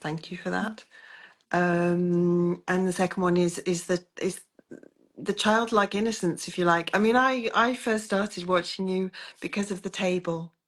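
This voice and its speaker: A woman speaks with a British accent at a moderate pace. Her intonation is fairly even, and the background is quiet. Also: medium pitch for a woman. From Britain. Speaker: coaching client. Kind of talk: interview.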